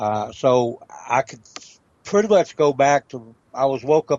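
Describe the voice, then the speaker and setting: Speaking fairly slowly, a man talks in a Southern US accent. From Tennessee. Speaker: historian and legal researcher. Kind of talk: interview. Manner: halting, many fillers.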